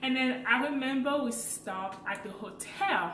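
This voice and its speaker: With lively intonation, a woman speaks at a fairly high pitch. Audible room echo and noticeable background noise are in the recording. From French-speaking Africa. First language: French. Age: 20s. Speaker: vlogger. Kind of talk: casual vlog storytelling.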